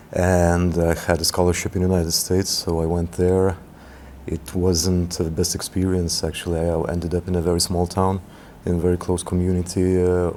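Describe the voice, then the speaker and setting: A man with a very deep, low pitch and a dark, mellow tone speaks at a moderate pace in a flat, monotone way. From Lithuania, Vilnius. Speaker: basketball administrator. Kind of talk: interview. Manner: halting, many fillers.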